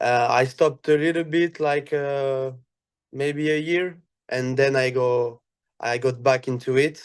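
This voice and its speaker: A man with a French accent speaks very slowly in a fairly high, monotone voice with flat intonation. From France. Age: 20s. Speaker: airsoft athlete. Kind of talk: casual podcast interview. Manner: halting, many fillers.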